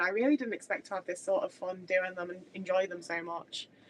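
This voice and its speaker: Over noticeable background noise, a woman talks very fast. Her pitch varies in an ordinary way. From English Midlands, Stoke. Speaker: streamer. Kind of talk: casual chat. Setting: live stream on webcam at home. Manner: halting, many false starts.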